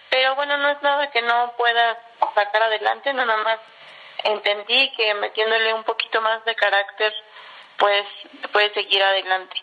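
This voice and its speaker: A woman's fairly high voice at a moderate pace, with fairly even intonation and long, frequent pauses. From Mexico, Estado de México. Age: 30s. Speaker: civil engineer. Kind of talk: interview.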